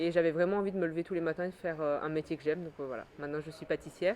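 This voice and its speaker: A woman with a very deep, low pitch. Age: 30s. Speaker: pastry chef. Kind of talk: interview. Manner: hesitant, many fillers.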